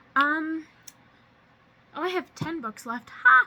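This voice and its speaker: A woman speaks in a raised, projected voice. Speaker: booktuber. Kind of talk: casual vlog. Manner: fast.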